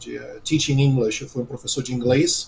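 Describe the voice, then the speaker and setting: A man speaks with monotone, flat intonation. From United States. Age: 40s. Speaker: business analyst and former English teacher. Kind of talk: interview.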